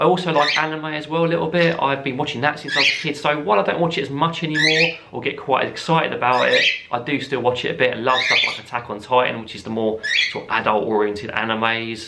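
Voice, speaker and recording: Noticeable background noise and audible room echo surround a man talking at a very fast pace with a fairly high pitch and ordinary pitch variation. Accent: English. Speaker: parrot YouTuber. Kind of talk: casual chat.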